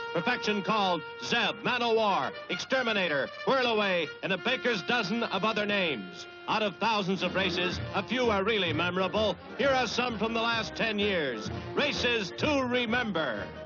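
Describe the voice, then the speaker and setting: Music plays behind a man speaking at a high pitch and moderate pace, with ordinary pitch variation and very even loudness. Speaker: newsreel narrator. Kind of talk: newsreel narration.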